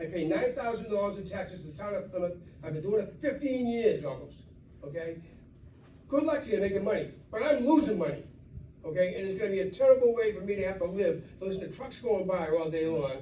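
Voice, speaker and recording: Amid audible room echo, a man talks very fast at a high pitch, with lively intonation and big swings in loudness. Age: 70s. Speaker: local resident. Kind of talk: public comment at town meeting. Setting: public meeting.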